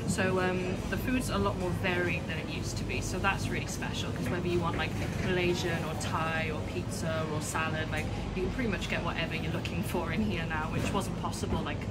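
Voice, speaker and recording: Music plays in the background as a woman speaks at a fairly quick pace. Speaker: interviewee. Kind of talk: interview answer. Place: cafe. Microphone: phone near.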